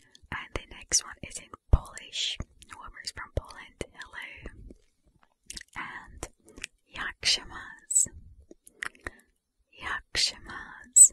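A whisper at a very slow pace, with long, frequent pauses and big swings in loudness. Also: woman. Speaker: ASMR creator. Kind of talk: ASMR soft-spoken language questions to camera. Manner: soft whisper. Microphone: studio mic.

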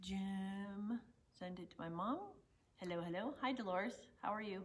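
Somewhat breathy and animated in tone, a woman speaks at a fairly slow pace with lively intonation. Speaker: shop owner hosting live sales stream. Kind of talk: casual live stream chat. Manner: chatty, animated. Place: shop. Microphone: lapel.

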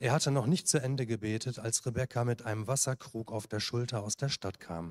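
A man talks at a moderate speed with ordinary pitch variation, and the background stays quiet. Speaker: scripture reader. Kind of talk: reading aloud. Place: church. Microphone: handheld.

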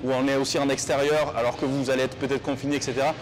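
The voice runs at a very fast pace in a monotone, flat intonation over light background noise. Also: man. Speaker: fitness youtuber. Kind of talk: casual vlog chat to viewers. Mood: earnest, reassuring. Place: gym.

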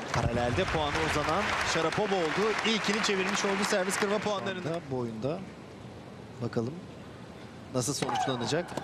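Amid crowd noise in the background, a man with a high pitch and lively intonation keeps a very even loudness while leaving long, frequent pauses. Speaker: live tennis commentator. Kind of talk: live sports commentary. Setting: broadcast booth at tennis exhibition match. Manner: excitable, rapid play-by-play calling each point.

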